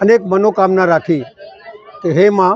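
Crowd noise sits behind a man speaking at high pitch with fairly even intonation. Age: old. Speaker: local politician. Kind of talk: public speech.

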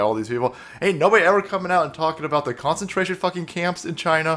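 A man at a very fast pace, with lively intonation. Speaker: political commentary streamer. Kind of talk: commentary. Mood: angry, sarcastic ranting. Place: home room.

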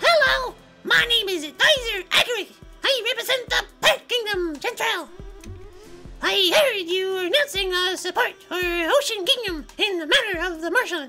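A put-on character voice at an extremely high pitch moves at a moderate pace, with faint music in the background. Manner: loud, pushy.

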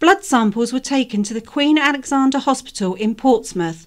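Her pitch high, a woman talks with lively intonation. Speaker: volunteer news reader. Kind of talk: reading aloud.

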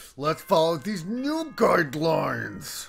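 A man's put-on character voice, high-pitched and fairly slow, over faint background music. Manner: sarcastic, mockingly cheerful.

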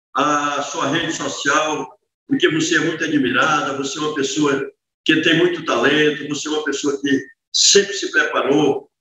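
A man at a moderate pace with audible room echo. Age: 60s. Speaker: city councillor. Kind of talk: interview. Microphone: video call.

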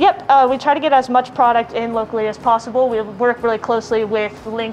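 The delivery is very fast with ordinary pitch variation. Light background noise sits underneath. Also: woman. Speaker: guest. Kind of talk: cooking demo and interview answers. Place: bar.

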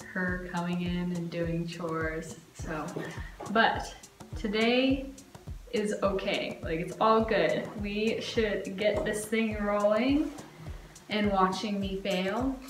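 A woman talks at a very slow pace with long, frequent pauses and ordinary pitch variation. Faint music plays behind her, and the room echo is audible. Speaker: vlogger. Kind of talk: casual vlog chat. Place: home room. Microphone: phone near.

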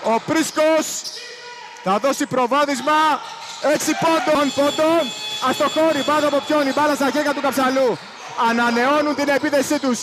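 A man's extremely high-pitched voice, with fairly even intonation, very even loudness, long and frequent pauses, and noticeable background noise. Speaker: basketball commentator. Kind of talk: live sports commentary. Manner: clipped, breathless calls of each possession.

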